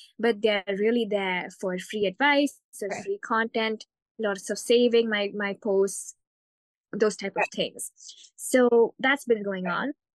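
Recorded with a dry, close sound and no echo, a woman with a plain, everyday voice speaks at a fairly slow pace, fairly high in pitch, with fairly even intonation. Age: 20s. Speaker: online coach, coaching client. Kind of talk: live coaching session. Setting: call.

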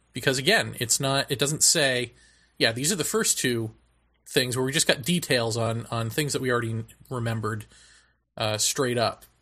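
A man talks at medium pitch in a bright, sharp tone, his intonation fairly even. His pace is moderate, and the recording is very clean with a silent background. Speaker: podcast host. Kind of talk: casual chat.

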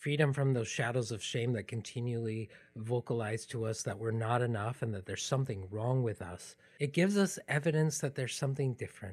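In a quiet background, a man with a medium pitch and a somewhat breathy voice talks at a fairly quick pace with ordinary pitch variation. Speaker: podcast host. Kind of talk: personal storytelling, narrated podcast episode. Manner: reflective, personal.

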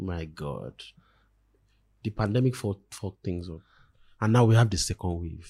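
In a dry, close recording with no echo, a man with a very deep, low pitch and a dark, mellow, somewhat breathy tone talks at a fairly slow pace, using ordinary pitch variation, big swings in loudness and long, frequent pauses. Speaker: podcast co-host. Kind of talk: casual banter podcast chat.

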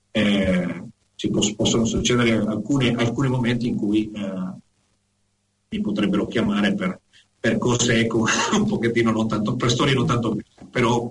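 The man's pace is moderate, with long, frequent pauses. His pitch is medium and his intonation fairly even. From Venezuela, Caracas. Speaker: honorary consular agent and educator. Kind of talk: casual interview. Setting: Skype call.

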